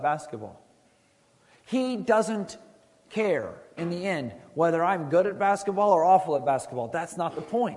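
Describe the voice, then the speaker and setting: Audible room echo surrounds a man speaking at a moderate pace with a high pitch. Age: 30s. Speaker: youth pastor. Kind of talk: sermon. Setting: school chapel with student audience.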